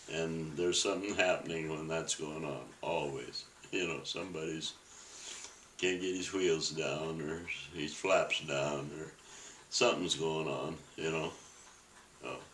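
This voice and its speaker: A very deep, low-pitched man with an American accent, fairly slow and broken by long, frequent pauses, over noticeable background noise. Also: fairly even intonation. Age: 80s+. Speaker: WWII Navy veteran. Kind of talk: interview answer.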